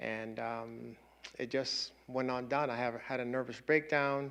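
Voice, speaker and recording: A man with a Spanish accent, medium pitch and fairly even intonation. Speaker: panelist sharing migration story. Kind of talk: personal testimony. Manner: halting.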